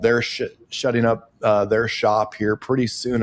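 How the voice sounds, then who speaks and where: At a moderate pace, a man talks with a Midwestern US accent. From Nebraska. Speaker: podcast host and farmer. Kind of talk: interview. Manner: casual.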